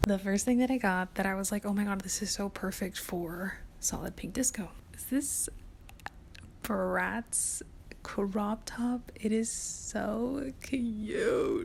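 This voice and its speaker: The pace is very slow. A woman whispers throughout. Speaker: lifestyle vlogger. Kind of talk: casual chat. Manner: whispering.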